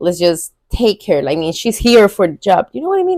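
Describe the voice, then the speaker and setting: The voice has a dark, mellow tone in a Spanish accent. The sound is dry and close, with no echo. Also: woman. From Venezuela. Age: 20s. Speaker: vlogger. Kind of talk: casual vlog talk.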